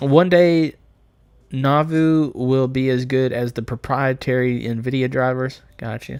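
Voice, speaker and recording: Here a man with an American accent speaks very slowly at a medium pitch. His intonation is fairly even, and the recording is very clean with a silent background. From United States. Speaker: gaming and Linux streamer. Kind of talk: live stream chat while gaming. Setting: live stream. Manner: casual, frequent hesitations and repeated words.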